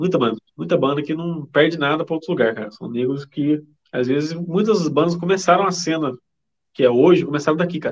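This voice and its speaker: A man speaks at a very fast pace with a fairly high pitch and ordinary pitch variation. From Brazil, interior of São Paulo state (Vale do Paraíba). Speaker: metal band drummer. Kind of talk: casual chat.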